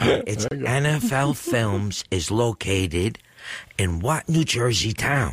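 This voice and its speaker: In a very clean recording with a silent background, a man speaks very slowly in a fairly low, somewhat breathy voice with very wide pitch swings. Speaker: radio show guest co-host reading trivia questions. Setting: radio studio. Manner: calm, relaxing delivery.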